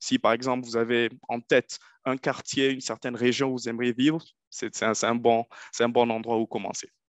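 A man with a Nigerien accent talks at a fairly quick pace in monotone, flat intonation, with a dry sound, no echo, and a quiet background. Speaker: former international student, investment advisor; webinar panelist. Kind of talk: webinar presentation. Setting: online webinar. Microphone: video call.

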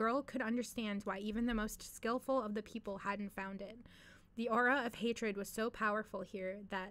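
With fairly even intonation, the speaker uses an unforced reading voice.

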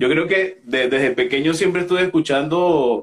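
This man has an unremarkable speaking voice, fairly high in pitch for a man, with ordinary pitch variation. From Venezuela. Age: 30s. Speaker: opera singer. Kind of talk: interview.

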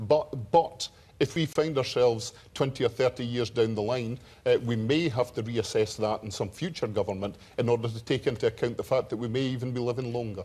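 Speaking fairly quickly in a Scottish accent, a man has a somewhat breathy, dark, mellow tone at a medium pitch with ordinary pitch variation. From northeast Scotland. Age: 50s. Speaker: politician. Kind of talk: televised debate. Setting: TV studio with audience. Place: studio.

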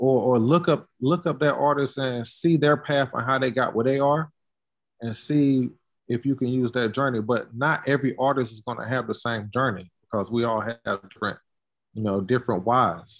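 Over a quiet background, a man speaks at a moderate pace with an American accent. His pitch is medium with ordinary pitch variation. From Durham, North Carolina; North Carolina. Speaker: sculptor, curator and art professor; art professor. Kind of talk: casual interview. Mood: relaxed, friendly. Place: workshop. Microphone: video call.

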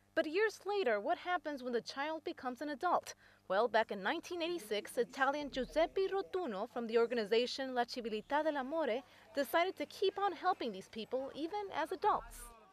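A woman with a high pitch and very wide pitch swings, in a dry, close sound with no echo, over noticeable background noise. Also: moderate pace. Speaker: news reporter. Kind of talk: scripted narration.

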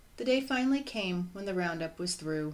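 A woman speaks with lively intonation. Audible room echo surrounds her voice. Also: fairly low pitch for a woman, moderate pace.

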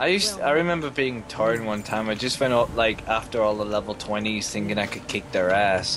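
Music plays behind a man with a fairly low pitch and ordinary pitch variation. He talks at a fairly quick pace with hardly any pauses. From England. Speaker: gamer. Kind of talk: casual chat.

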